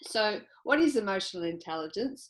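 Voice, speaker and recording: Lively intonation marks this woman's speech in an Australian accent. Her pace is moderate. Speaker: psychologist and business owner. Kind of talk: presentation.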